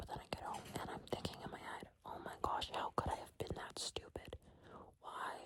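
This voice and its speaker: A woman whispering at a fairly quick pace. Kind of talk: whisper ramble, casual talk to camera. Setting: in bed, eating candy. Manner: whispered, soft-spoken.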